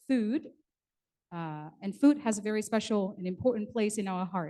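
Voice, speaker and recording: With a Vietnamese accent, a woman speaks in a dark, mellow tone at a fairly high pitch with ordinary pitch variation. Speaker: event emcee. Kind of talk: bilingual ceremony hosting. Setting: conference hall with audience. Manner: formal.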